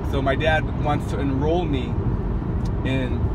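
Over loud background noise, a man talks in an American accent. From US West Coast. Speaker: vlogger. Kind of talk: casual storytelling monologue. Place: car. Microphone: phone near.

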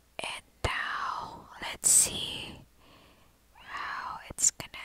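A very slow whisper. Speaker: ASMR creator. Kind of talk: ASMR soft-spoken product demo. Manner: soft-spoken. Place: home room. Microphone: phone near.

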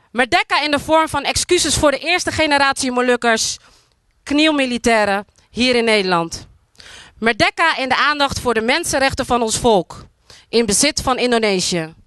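A woman speaks with lively intonation in a high-pitched, bright, sharp tone. The sound is dry with no echo, and the background is quiet. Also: moderate pace. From Netherlands, Moluccan community. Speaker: spoken word artist. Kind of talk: public speech. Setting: outdoors at monument with audience. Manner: declamatory. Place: open country. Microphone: handheld.

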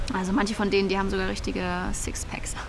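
A woman's fairly quick, fairly evenly intoned speech, dry with no echo, over noticeable background noise. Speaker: fictional interview character. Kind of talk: interview answer, comedic monologue. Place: garden. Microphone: lapel.

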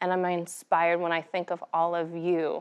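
In an American accent, a woman speaks at a fairly low pitch and moderate pace over a quiet background. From United States. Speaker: health equity fellow, nonprofit foundation worker. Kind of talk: prepared speech. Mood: earnest, reflective. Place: hall.

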